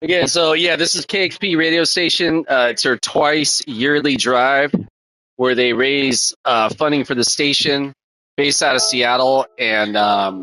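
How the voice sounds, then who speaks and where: A man with an American accent speaks at a fairly slow pace. His voice is fairly high, with ordinary pitch variation and very even loudness. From US West Coast, Oakland / San Francisco Bay Area. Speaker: gaming live streamer. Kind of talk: casual live-stream chat. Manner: casual, hesitant with many fillers.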